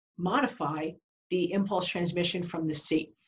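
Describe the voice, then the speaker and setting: Somewhat breathy, a woman speaks with an American accent. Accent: New York accent, fading toward New Hampshire. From New York. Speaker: continuing education instructor for health professionals. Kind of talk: webinar lecture. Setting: online webinar. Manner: conversational, frequent rhetorical questions.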